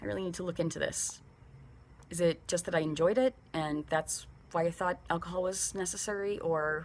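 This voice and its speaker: A woman speaks at a moderate pace with a fairly low pitch. Her voice has vocal fry and ordinary pitch variation. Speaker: vlogger in addiction recovery. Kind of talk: personal video diary. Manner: halting, stuttering.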